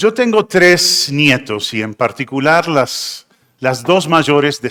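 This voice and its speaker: Very slowly, a man talks in a bright, sharp tone with very wide pitch swings. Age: 60s. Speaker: pastor. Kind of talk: sermon.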